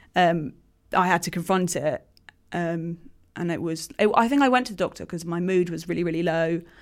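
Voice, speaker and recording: An unremarkable speaking voice from a woman, fairly low in pitch, at a fairly quick pace with ordinary pitch variation. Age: 20s. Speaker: author and writer. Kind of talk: casual chat.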